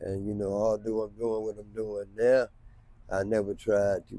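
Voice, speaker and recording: A man's dark, mellow voice at a fairly low pitch, with an American accent, monotone, flat intonation, and a moderate pace. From North Carolina. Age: 70s. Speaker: homeless man. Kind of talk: street interview.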